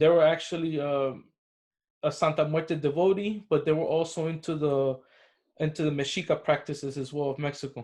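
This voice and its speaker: Fairly quick in pace, a man speaks with a fairly high pitch. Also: fairly even intonation. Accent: Spanish. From Cuban American, US. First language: Spanish. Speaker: spiritual practitioner, necromancer. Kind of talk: interview.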